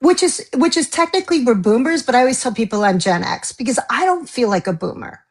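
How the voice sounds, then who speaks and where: A woman talks at a very fast pace in a high pitch. Her pitch swings very widely. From US East Coast. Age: 60s. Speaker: novelist. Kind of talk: interview.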